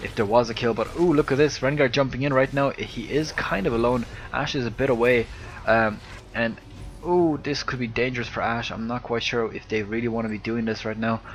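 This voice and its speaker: In an Irish accent, a man speaks at a medium pitch and a fairly quick pace. His intonation is fairly even, with music in the background. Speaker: video game commentator. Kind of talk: casual chat; live commentary. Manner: hesitant, many fillers.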